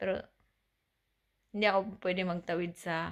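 The woman speaks at a moderate pace. Her pitch is fairly low. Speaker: vlogger. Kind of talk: casual personal story to camera.

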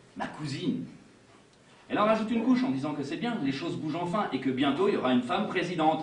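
Lively intonation comes through at a very fast pace amid audible room echo. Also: man. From Indre, France. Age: 40s. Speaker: solo storyteller performer. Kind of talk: autobiographical stage monologue. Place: stage. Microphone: camera far.

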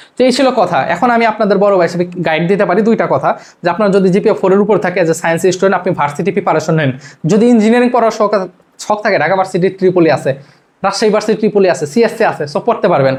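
This man has a high pitch, very even loudness and ordinary pitch variation. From Bangladesh, Rajbari. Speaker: YouTube education tutor and student. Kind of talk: advice talk to camera. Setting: home video recording to camera. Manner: casual, repetitive conversational.

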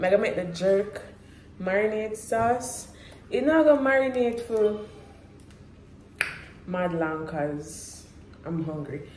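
A woman speaks slowly at medium pitch with lively intonation and a slightly mellow tone. Long, frequent pauses break up her words, and the room echo is audible.

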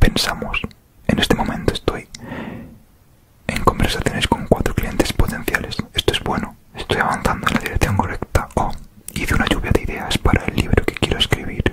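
Whispering at a moderate pace, a man is heard over noticeable background noise. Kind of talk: audiobook-style reading of a self-help book. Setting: close microphone recording. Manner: whispered, soft-spoken, relaxing.

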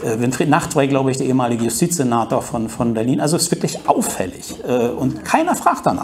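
Against noticeable background noise, a man speaks very fast at a medium pitch, with ordinary pitch variation and hardly any pauses. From East Germany. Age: 50s. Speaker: journalist. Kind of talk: talk to an audience. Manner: hesitant, many fillers.

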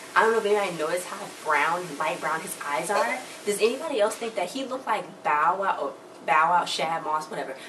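Speaking at a fairly quick pace with an animated tone, a woman with an American accent is heard over noticeable background noise. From Chicago, US. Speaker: YouTuber. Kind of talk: TV review recap. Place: home room. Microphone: phone near.

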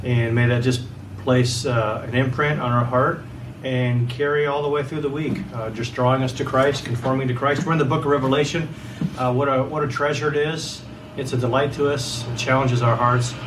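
Against noticeable background noise, a man speaks with fairly even intonation. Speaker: pastor. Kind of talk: sermon. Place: home room. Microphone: camera far.

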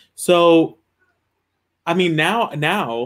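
Speaking at a very slow pace, a man keeps his pitch variation ordinary. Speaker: web series host. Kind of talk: casual chat. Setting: video call. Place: home room.

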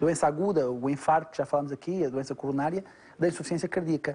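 Talking at a very fast pace, a man has a fairly high pitch and a dark, mellow tone. His intonation stays fairly even. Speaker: doctor. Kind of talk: educational medical talk.

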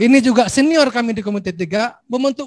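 Extremely high male voice with ordinary pitch variation and a fairly quick pace, over a quiet background. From Aceh. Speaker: legislator chairing a hearing. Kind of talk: formal hearing, casual Indonesian. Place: hall. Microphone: handheld.

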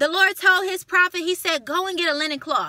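An animated, raised, projected woman's voice with a bright, sharp tone at extremely high pitch, dry with no echo, over a quiet background. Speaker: video channel host preaching a rebuke. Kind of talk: fiery preaching-style rebuke and exhortation with scripture retelling. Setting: home video recording to camera. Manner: animated, indignant, emphatic, rhetorical questions and repetition; direct, scolding, addressing target as 'you'. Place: car. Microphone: phone near.

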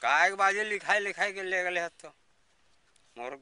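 The voice has a bright, sharp tone with ordinary pitch variation. The sound is dry and close, with no echo. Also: man. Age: 70s. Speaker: villager denied old age pension. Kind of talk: interview answer.

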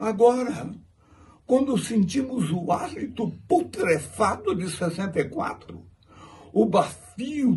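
Very slow and dark, mellow in tone, a man's high voice moves through very wide pitch swings. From Brazil. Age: 80s+. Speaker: actor. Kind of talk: heartfelt tribute monologue. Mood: moved, solemn. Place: home room. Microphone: phone near.

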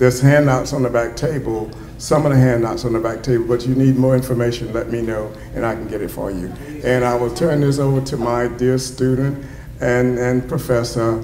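Light background noise and audible room echo surround a man speaking with an American accent. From US South. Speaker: retired psychology professor, honoree; retired psychology professor. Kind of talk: acceptance speech. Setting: banquet hall with audience. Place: hall. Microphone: podium.

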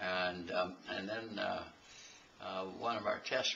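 A man with an American accent and a very deep, low pitch, at a fairly slow pace over light background noise. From Iowa. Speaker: retired tractor engineer. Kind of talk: interview answer. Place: home room. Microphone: camera far.

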